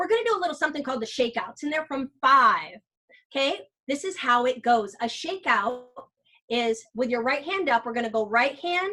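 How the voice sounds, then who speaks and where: A woman's high-pitched, raised, projected voice, animated and bright and sharp in tone, with lively intonation at a fairly quick pace. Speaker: teacher and workshop presenter. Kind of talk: interactive workshop presentation. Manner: loud, tends to yell when energized.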